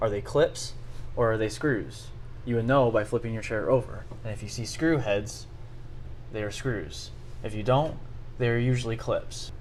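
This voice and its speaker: A man talks with long, frequent pauses. His voice is somewhat breathy. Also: medium pitch for a man, moderate pace. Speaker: DIY tutorial host. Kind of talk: casual how-to talk to camera. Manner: stuttering, audible breathing.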